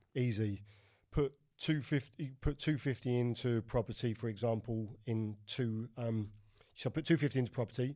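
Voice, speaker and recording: Moderate pace, dark and mellow tone, and fairly even intonation. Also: man, medium pitch for a man. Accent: London. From West London, England. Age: 50s. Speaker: crypto and property mentor, former prisoner. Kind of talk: casual interview.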